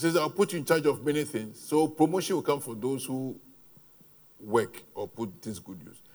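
Delivered at a moderate pace, the voice swings widely in loudness, with lively intonation and vocal fry. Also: man, fairly high pitch for a man. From Ghana. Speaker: pastor. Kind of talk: sermon.

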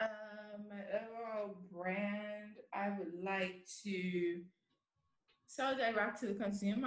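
Through audible room echo, a woman talks at a very slow pace with medium pitch and ordinary pitch variation. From Bermuda. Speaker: handbag designer. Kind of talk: interview.

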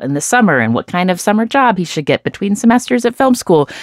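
In a very clean recording with a silent background and a dry, close sound with no echo, a woman with an American accent speaks with very wide pitch swings. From United States. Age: 40s. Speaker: podcast host and author. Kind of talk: interview.

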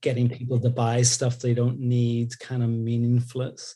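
A somewhat breathy, dark, mellow tone at a moderate pace. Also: man. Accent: Northern Irish. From Northern Ireland, Belfast. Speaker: creative director. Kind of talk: interview conversation.

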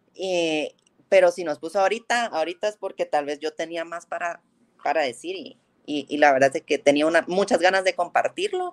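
The woman's pitch is fairly low with ordinary variation, and she moves at a fairly quick pace. Her loudness swings widely, and the sound is dry and close with no echo. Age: 30s. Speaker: guest, childhood friend of host. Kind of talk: casual chat, faith testimony. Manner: halting with many repetitions.

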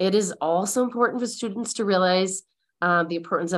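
On a very clean recording with a silent background, a woman uses a normal speaking voice of medium pitch with ordinary pitch variation. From Michigan, US (Mount Pleasant). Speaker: college readiness specialist. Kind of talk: interview.

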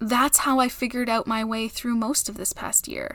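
Fairly high-pitched woman's voice with a Canadian accent, flat monotone intonation and a moderate pace. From Canada. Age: 30s. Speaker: podcast host. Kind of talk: personal reflective monologue.

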